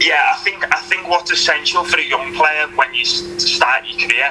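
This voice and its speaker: Against noticeable background noise, a man with a Liverpool accent speaks in a high voice with ordinary pitch variation. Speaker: retired professional footballer. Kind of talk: interview.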